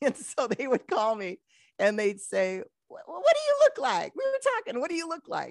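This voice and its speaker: Recorded dry and close with no echo, a woman in an American accent speaks at a moderate pace with big swings in loudness. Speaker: radio host. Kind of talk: casual interview chat.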